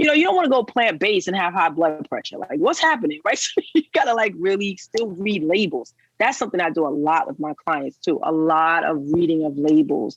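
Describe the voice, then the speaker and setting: With a New York accent, a woman speaks at medium pitch and a fairly quick pace, her pitch swinging very widely and hardly pausing at all. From New York, the Bronx. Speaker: plant-based nutrition coach. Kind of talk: podcast interview. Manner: animated.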